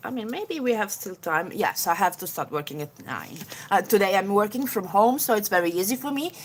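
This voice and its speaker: A woman with an Italian accent speaks at a fairly high pitch, her voice making very wide pitch swings. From Italy, Genoa. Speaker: beauty YouTuber. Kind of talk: live makeup tutorial chatting with viewers. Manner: halting, many fillers.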